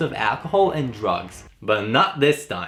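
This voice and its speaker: Music plays behind a man with a Hungarian accent. His pitch swings very widely. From Hungary. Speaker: YouTuber guest-hosting a countdown video. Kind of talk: scripted narration. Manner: casual, joking.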